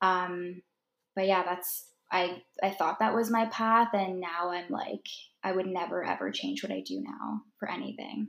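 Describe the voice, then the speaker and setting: A woman with a normal speaking voice talks at a fairly slow pace, with a medium pitch and ordinary pitch variation. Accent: Canadian. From Ontario, Canada. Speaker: holistic nutritionist and food blogger. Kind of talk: casual chat.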